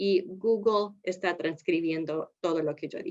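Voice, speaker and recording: A woman with a non-native accent talks at a fairly slow pace and a medium pitch. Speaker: speech-language therapist, trainer. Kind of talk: lecture. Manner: halting.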